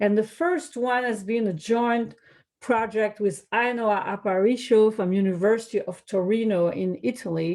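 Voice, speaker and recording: A woman's fairly high voice in a French accent, with ordinary pitch variation, a moderate pace and a quiet background. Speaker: economics researcher. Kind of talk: academic presentation. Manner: hesitant, with fillers.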